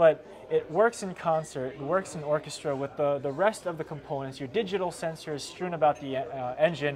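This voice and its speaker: Light background noise sits under a man's voice. His pace is moderate, with ordinary pitch variation. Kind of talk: interview answer. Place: hall. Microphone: lapel.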